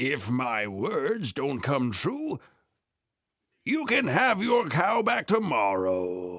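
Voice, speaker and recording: A cartoonish character voice at a very slow pace, full of very wide pitch swings. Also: man, fairly high pitch for a man. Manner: calm, persuasive.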